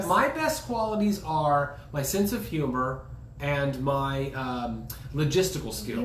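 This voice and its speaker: A man's fairly high, lively voice against noticeable background noise. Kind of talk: casual conversation.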